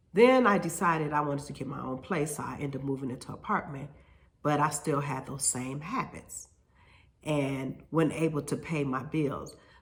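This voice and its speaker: At a moderate pace, a woman with a very deep, low pitch and ordinary pitch variation sounds somewhat breathy amid audible room echo. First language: Spanish. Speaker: hair stylist and salon owner. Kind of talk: casual vlog monologue. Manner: halting, with fillers and repetitions.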